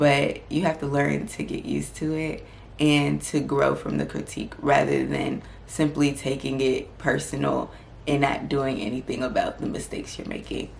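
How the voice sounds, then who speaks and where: A calm-toned woman at a moderate pace, with noticeable background noise and audible room echo. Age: 20s. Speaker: medical student and lifestyle vlogger. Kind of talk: vlog advice talk.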